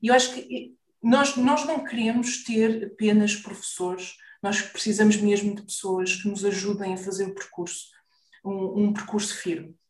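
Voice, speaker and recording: Audible room echo surrounds a woman's somewhat breathy, medium-pitched voice. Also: ordinary pitch variation, moderate pace. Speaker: business mentor for therapists. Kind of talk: interview.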